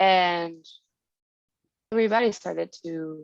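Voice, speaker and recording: Speaking in a Spanish accent, a woman keeps a medium pitch and ordinary pitch variation. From Mexico, Veracruz. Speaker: singer-songwriter. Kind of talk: interview.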